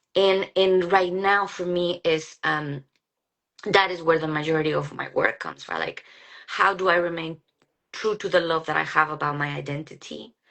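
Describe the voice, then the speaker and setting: A woman's intonation is fairly even. Her voice sits fairly low. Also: moderate pace. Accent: Mexican. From Mexico, Guadalajara. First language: Spanish. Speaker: psychologist. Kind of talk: casual chat. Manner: halting.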